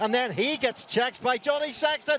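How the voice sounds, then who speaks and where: An extremely high-pitched man speaks in an animated tone with ordinary pitch variation. Noticeable background noise runs underneath. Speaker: rugby commentator. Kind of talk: live sports commentary with recap and scene-setting. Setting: highlights package voiceover over match footage. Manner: animated, excitable, rising with each try.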